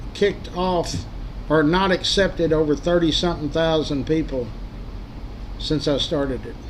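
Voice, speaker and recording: A man's high voice in a Texas accent, over light background noise. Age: 70s. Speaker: local history group admin and livestreamer; livestreamer. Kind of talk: casual livestream monologue. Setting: livestream. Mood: earnest, caring. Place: home room. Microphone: webcam.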